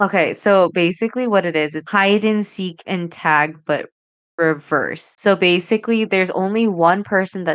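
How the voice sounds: The setting is quiet. A natural reading voice carries the text.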